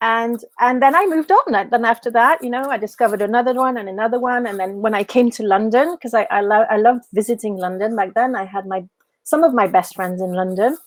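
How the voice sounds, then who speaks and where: A woman with a French accent speaks at a very fast pace. Her pitch sits fairly high. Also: ordinary pitch variation. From France, Paris. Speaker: business mentor. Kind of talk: podcast interview.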